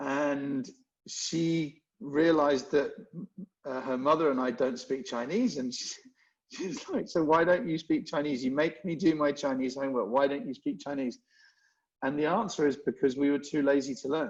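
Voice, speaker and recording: This man has a London accent and a fairly high pitch. He talks at a moderate pace with ordinary pitch variation. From England, London. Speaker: event marketing executive. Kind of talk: podcast interview. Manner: halting, many restarts.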